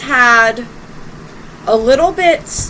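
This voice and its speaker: A woman speaks loudly in a high voice with lively intonation over noticeable background noise. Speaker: tarot reader. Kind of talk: tarot reading.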